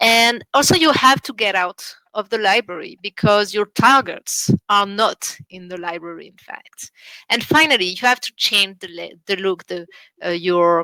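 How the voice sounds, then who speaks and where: A woman with a French accent speaks at medium pitch with lively intonation. Her loudness swings widely. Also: moderate pace. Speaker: international relations officer at a library school. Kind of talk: online seminar presentation. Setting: online seminar. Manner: halting, many fillers.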